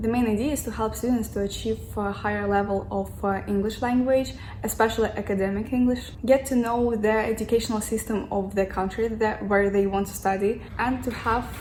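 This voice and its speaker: In a Russian accent, a woman talks fairly quickly in a fairly high, flat monotone, with audible room echo and noticeable background noise. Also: hardly any pauses. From Russia, Moscow. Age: 20s. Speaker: student vlogger. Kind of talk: casual vlog. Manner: halting.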